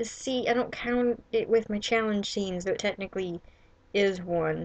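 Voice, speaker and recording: A woman speaks at a medium pitch and a moderate pace with fairly even intonation. Hers is an unremarkable speaking voice. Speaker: writer and vlogger. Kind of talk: casual vlog monologue.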